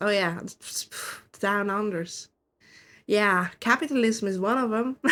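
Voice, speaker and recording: Pausing long and often, a woman speaks at a fairly slow pace with a bright, sharp tone, a fairly high pitch and lively intonation on a very clean recording with a silent background. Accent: non-native. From Switzerland. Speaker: vtuber streamer. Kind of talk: casual chat while gaming. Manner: halting.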